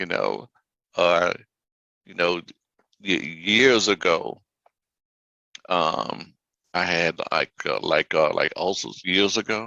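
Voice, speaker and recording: A man speaks at a very slow pace with long, frequent pauses. The sound is dry and close, with no echo. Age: 60s. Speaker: life coach, health show host. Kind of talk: casual chat. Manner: halting.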